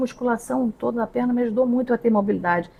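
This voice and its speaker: Very fast speech from a woman, fairly high-pitched, with ordinary variation in pitch. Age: 60s. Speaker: podcast host. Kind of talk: casual chat. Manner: animated.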